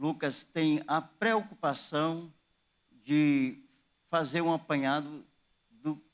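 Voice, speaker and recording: A man's fairly high-pitched voice on a very clean recording with a silent background. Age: 60s. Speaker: pastor. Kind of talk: sermon. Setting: church.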